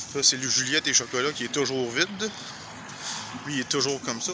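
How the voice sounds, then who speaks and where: A man with a Quebec accent, fairly high pitch, noticeable background noise and a dry sound with no echo. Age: 50s. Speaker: YouTuber; vlogger. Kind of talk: walking vlog commentary; casual vlog chat. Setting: outdoors. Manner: halting. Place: street. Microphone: phone near.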